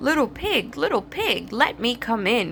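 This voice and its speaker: A growling, put-on character voice comes at a moderate pace over clear background noise. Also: woman, fairly high pitch for a woman. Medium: read story. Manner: roaring, blustering.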